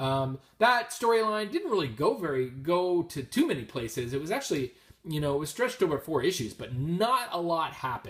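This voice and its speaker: Mumbling at a fairly quick pace, a man with a high pitch makes very wide pitch swings. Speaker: comic book collector. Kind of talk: casual talk to camera. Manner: mumbling, hesitant, many filler words.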